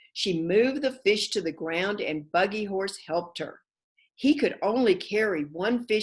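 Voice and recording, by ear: Lively intonation marks this natural-voiced reading aloud. Nothing can be heard behind it.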